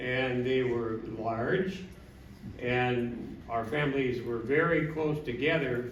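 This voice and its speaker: A man in an Upper Midwest accent speaks with fairly even intonation, with audible room echo and noticeable background noise. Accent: Upper Midwest (Minnesota). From Minnesota. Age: 70s. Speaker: family member giving a speech. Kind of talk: anniversary party speech.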